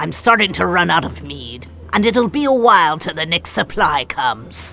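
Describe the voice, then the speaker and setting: A man puts on a high-pitched character voice over clear music in the background. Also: moderate pace. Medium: video game. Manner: brusque, folksy.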